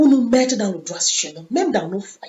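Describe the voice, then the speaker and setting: With very wide pitch swings, a woman speaks high-pitched at a fairly slow pace. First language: English (speaking French). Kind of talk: sermon. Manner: halting.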